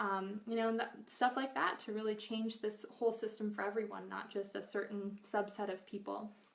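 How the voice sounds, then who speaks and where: A woman speaks with hardly any pauses in a fairly high pitch and monotone, flat intonation, with noticeable background noise behind her. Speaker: nutritional therapy practitioner and cookbook author. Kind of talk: live video Q&A. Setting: Facebook live video. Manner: fast; casual, filler-heavy.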